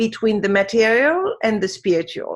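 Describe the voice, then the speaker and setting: A woman with a French accent speaks at a fairly slow pace. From France. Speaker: wisdom teacher. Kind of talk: interview.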